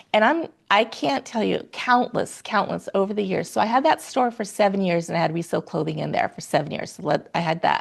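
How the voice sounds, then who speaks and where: A woman speaks at a fairly quick pace and a medium pitch, with hardly any pauses. Her tone is animated, with vocal fry. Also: lively intonation. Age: 60s. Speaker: secondhand clothing seller and stylist. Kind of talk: casual interview chat.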